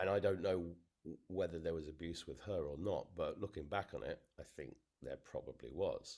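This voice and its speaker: A man is speaking with an English accent. His pace is moderate. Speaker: interviewee. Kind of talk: testimony. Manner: halting.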